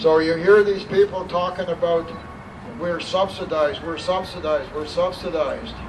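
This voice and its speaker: Noticeable background noise accompanies a man speaking in a high pitch. His intonation is monotone and flat, at a moderate pace. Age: 60s. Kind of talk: public speech.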